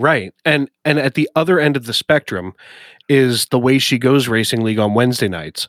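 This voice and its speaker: This man has a normal speaking voice with an American accent, medium pitch and lively intonation, moving at a moderate pace. The recording is very clean, with a silent background and a dry, close sound with no echo. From US Northeast. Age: 30s. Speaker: podcast host and sim racing commentator. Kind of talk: casual chat.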